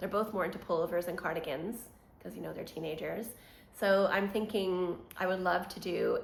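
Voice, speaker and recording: A woman is speaking. Room echo is audible. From Quebec, Montreal. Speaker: knitting podcaster. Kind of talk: casual vlog chat.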